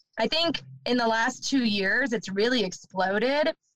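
A woman with a Canadian accent and an ordinary speaking voice talks at a fairly slow pace with ordinary pitch variation. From Ontario, Canada. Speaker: van life podcaster. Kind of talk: casual chat.

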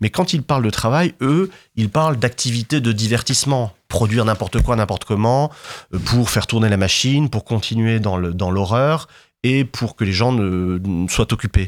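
In a very clean recording with a silent background, a man with a normal speaking voice talks at a medium pitch and moderate pace, with ordinary pitch variation and very even loudness. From southern France, Martigues (Bouches-du-Rhône). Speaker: historian. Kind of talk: interview.

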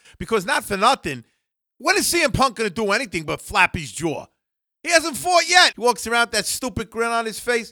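With a raised, projected voice, a man speaks at an extremely high pitch and a fairly quick pace, his bright, sharp tone making very wide pitch swings in a dry, close sound with no echo on a very clean recording with a silent background. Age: 60s. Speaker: wrestling podcast co-host. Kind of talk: casual chat. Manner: slurring words.

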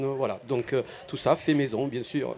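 A man with an Italian accent at a medium pitch, very slow and monotone, flat in intonation, with noticeable background noise. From Apulia, southern Italy. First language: Italian (speaking French). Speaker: restaurant owner. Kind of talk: interview. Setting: outdoor festival stand.

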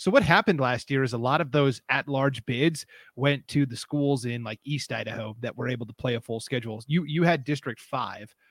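With an American accent and an unremarkable speaking voice, a man talks fairly quickly at a medium pitch with ordinary pitch variation and hardly any pauses, in a dry, close sound with no echo. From Montana. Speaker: sports podcast host. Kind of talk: casual sports chat.

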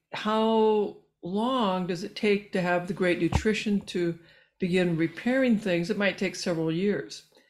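A woman with an unremarkable speaking voice talks at a medium pitch and a fairly slow pace, with ordinary pitch variation. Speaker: physician and researcher. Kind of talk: interview. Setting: remote call.

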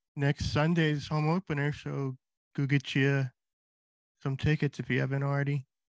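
This man has a fairly high voice with monotone, flat intonation and long, frequent pauses at a moderate pace. The sound is dry and close with no echo, over a quiet background. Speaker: podcast host. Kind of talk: casual chat.

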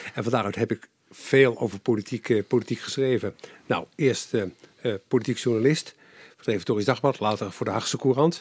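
A man's unremarkable speaking voice, medium in pitch, at a moderate pace with ordinary pitch variation and a dry, close sound with no echo. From Netherlands, Capelle aan de IJssel (South Holland). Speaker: former journalist, politician and public affairs adviser. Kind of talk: interview. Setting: his study at home.

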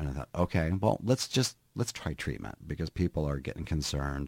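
Recorded very cleanly against a silent background, a man with an American accent speaks at a moderate pace in a very deep, low voice with vocal fry. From Minnesota. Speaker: hairdresser and real estate agent in recovery. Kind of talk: interview about personal recovery. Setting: studio.

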